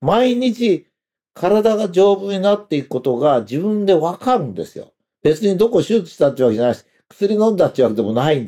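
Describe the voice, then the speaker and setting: A high-pitched male voice, dark and mellow in tone, at a fairly quick pace with very wide pitch swings and big swings in loudness. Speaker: commentator. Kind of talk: monologue. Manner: hesitant with fillers.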